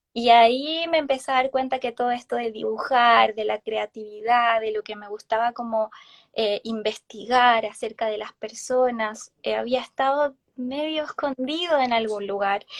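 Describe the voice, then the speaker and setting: A woman with a fairly high pitch speaks at a fairly slow pace and fairly even intonation, and her loudness swings widely. The sound is dry and close with no echo. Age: 30s. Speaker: therapist and tarot reader. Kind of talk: casual interview chat. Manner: hesitant, many fillers.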